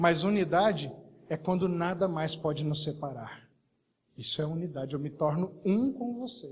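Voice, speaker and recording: This voice has ordinary pitch variation and a moderate pace. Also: man. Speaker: pastor. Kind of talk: sermon. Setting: church service.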